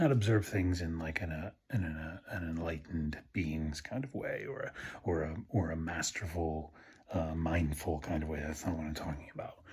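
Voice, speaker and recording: A quiet, somewhat breathy man's voice, very deep and low in pitch. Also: ordinary pitch variation, moderate pace. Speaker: Buddhist video blogger. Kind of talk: casual monologue. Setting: at home at night. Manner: quiet, low-toned; halting, many fillers.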